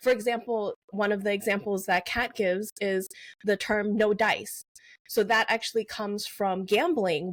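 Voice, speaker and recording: A woman with a Mandarin accent speaks at a medium pitch, the sound dry and close with no echo. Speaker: novelist. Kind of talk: interview.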